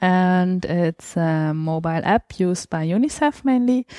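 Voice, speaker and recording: A woman speaks at a moderate pace in a normal speaking voice, medium in pitch with lively intonation. The sound is dry and close with no echo, over a quiet background. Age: 30s. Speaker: open source program participant. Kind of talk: interview.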